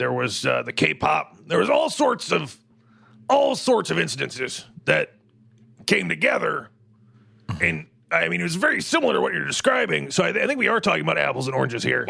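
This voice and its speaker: Using a put-on character voice, a man sounds raspy. He moves at a fairly quick pace broken by long, frequent pauses. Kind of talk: talk-radio host comedy. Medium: audio drama. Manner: rambling, digressive, confidently wrong.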